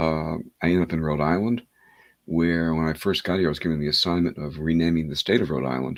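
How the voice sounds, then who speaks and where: A man with a very deep, low pitch and fairly even intonation. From New York City. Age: 70s. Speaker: hypnotherapist and author. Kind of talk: interview. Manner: halting.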